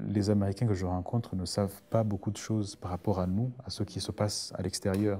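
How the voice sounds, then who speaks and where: A man speaks in a Burundian accent with a dark, mellow tone. His pitch is fairly low and his intonation fairly even. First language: Kirundi (speaking French). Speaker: writer. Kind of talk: interview. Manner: halting. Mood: thoughtful, calm. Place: studio.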